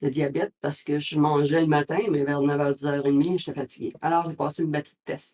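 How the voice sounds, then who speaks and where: A woman's very deep, low voice with a dark, mellow tone, monotone, flat intonation and a fairly quick pace. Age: 60s. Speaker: cancer survivor. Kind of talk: interview. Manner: halting.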